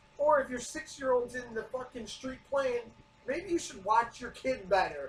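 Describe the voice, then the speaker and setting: Over noticeable background noise, a man speaks at a moderate pace in an extremely high pitch. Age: 30s. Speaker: podcast co-host. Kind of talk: casual chat. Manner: loud.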